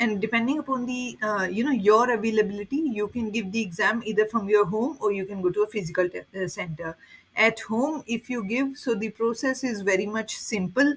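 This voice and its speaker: A woman talks fairly quickly in a somewhat breathy voice with ordinary pitch variation. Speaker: certification exam guide creator. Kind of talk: tutorial.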